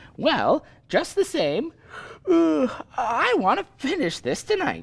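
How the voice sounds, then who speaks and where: A put-on character voice speaks at a fairly slow pace and a high pitch. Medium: audio drama. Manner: eager, fidgety, slangy.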